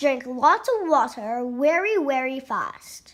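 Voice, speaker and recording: Putting on a character voice, a woman talks fairly slowly at a high pitch. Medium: read story.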